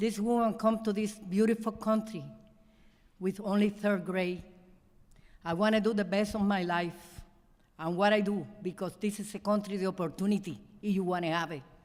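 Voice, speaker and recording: A woman at medium pitch with fairly even intonation, moderate pace and long, frequent pauses, over noticeable background noise. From Cuba. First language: Spanish. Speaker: award honoree. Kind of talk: acceptance speech. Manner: halting.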